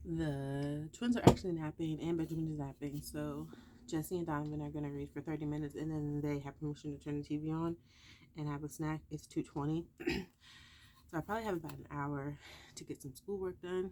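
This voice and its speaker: At a fairly quick pace, a woman speaks with a very deep, low pitch, a dark, mellow tone and fairly even intonation. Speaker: homeschooling mom vlogger. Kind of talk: casual vlog narration. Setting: home, in closet office. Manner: quiet, talking low.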